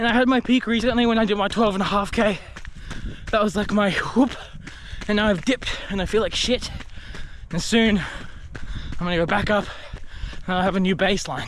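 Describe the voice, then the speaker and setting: The speaker has an Australian accent and fairly even intonation, with long, frequent pauses. Noticeable background noise is present. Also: man, high pitch for a man, fairly quick pace. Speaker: vlogger, documentary filmmaker. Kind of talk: casual vlog monologue. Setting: outdoors on a run. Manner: casual, filler-heavy.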